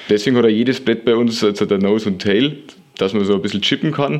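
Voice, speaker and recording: A man's very fast delivery, medium in pitch, with lively intonation. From Lower Bavaria, Germany. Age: 20s. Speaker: longboard maker. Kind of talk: interview. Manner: hesitant with frequent fillers.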